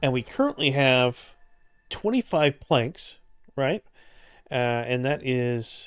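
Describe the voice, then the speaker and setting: Music plays in the background as a man speaks with long, frequent pauses. The sound is dry and close, with no echo. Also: medium pitch for a man, ordinary pitch variation. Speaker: gaming video creator. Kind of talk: gameplay tutorial commentary. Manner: fast.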